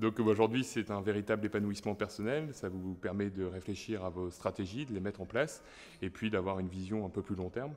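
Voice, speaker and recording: A plain, everyday voice speaks, its pitch moving in an ordinary way. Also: man, fairly low pitch for a man, fairly quick pace. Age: 30s. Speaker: business owner. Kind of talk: interview testimony.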